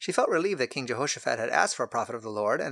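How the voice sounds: The recording presents a natural reading voice.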